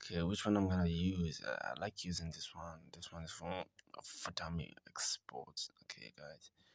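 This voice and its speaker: A man with a non-native accent speaks at a moderate pace with very deep, low pitch and fairly even intonation. His loudness swings widely in a dry, close sound with no echo. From South Africa. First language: not English. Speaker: online money-making video maker. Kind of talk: screen-recorded tutorial. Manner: casual, halting with fillers.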